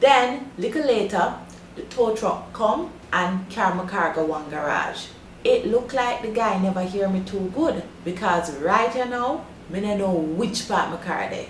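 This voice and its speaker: Over noticeable background noise, a woman talks at a fairly slow pace and medium pitch with lively intonation. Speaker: language teacher.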